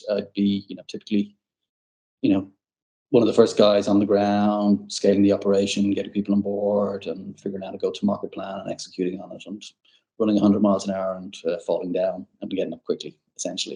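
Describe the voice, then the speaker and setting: A man with an Irish accent talks at a very fast pace, with big swings in loudness. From Ireland, Dublin. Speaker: tech sales executive. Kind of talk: podcast interview. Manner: hesitant, repetitive.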